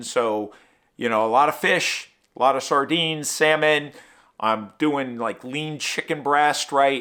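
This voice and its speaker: On a very clean recording with a silent background, a man talks at a fairly slow pace in a bright, sharp tone with ordinary pitch variation. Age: 60s. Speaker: running vlogger. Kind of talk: casual vlog talk to camera. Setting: home studio.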